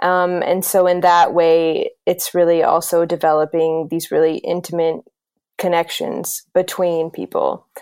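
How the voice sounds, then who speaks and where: A woman with an American accent speaks at a fairly low pitch and a fairly slow pace. Her intonation is monotone and flat. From US South, South Carolina. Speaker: intercultural educator and consultant. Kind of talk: interview.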